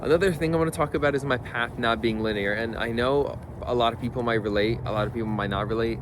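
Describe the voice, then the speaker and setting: Over noticeable background noise and audible room echo, a man talks fairly quickly at a medium pitch. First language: not English. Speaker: video creator. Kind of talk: casual vlog monologue. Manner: casual, halting with self-corrections.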